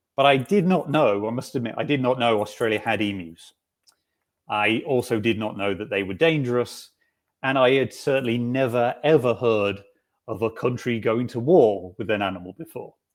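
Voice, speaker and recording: A man at medium pitch with a British accent. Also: ordinary pitch variation, moderate pace. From UK. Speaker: software developer, conference speaker. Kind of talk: technical talk. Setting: video call from home.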